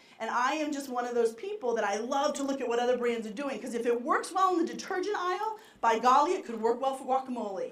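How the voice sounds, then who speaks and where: A woman with a Boston accent talks at a very fast pace in an energetic tone, her high pitch swinging very widely. Room echo is audible. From Boston area, US. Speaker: marketing executive. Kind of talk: conference keynote talk. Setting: stage with live audience. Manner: fast when excited.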